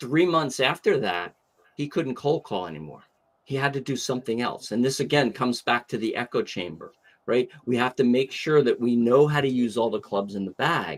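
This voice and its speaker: With lively intonation and a plain, everyday voice, a man speaks at medium pitch and a moderate pace on a very clean recording with a silent background. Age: 60s. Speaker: sales trainer. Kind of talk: podcast interview.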